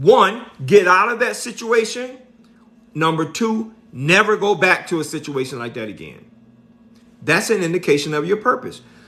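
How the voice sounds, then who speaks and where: With an American accent and a high pitch, a man projects his raised voice in an animated tone, at a moderate pace, with very wide pitch swings, big swings in loudness, and long, frequent pauses. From Miami, Florida. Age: 50s. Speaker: motivational speaker. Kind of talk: motivational talk. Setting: live stream.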